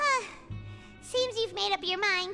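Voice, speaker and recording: A female-sounding voice in a squeaky, put-on character voice with an extremely high pitch plays over clear music in the background. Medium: video game. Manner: refers to self in third person.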